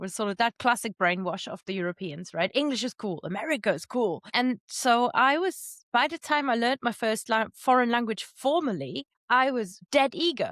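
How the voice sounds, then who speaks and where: A woman with a German accent speaks at a fairly high pitch and a moderate pace, her pitch swinging very widely. The recording is very clean with a silent background and a dry, close sound with no echo. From Germany, Moselle Valley. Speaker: polyglot, language teacher and podcaster. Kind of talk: podcast interview.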